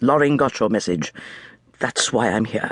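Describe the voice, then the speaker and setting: A raspy, put-on character voice from a man at medium pitch. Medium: read story. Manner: terse, controlled.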